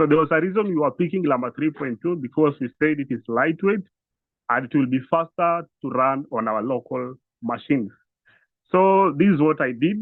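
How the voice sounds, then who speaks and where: Using an unremarkable speaking voice, a man talks at a moderate pace and a fairly high pitch with ordinary pitch variation. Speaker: instructor. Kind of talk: tutorial.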